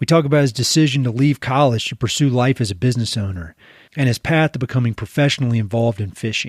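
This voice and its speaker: A man with a Southern accent speaks at a very fast pace and a medium pitch. His somewhat breathy voice has ordinary pitch variation in a dry, close sound with no echo. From eastern North Carolina. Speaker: podcast host. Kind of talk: scripted podcast intro. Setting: video call.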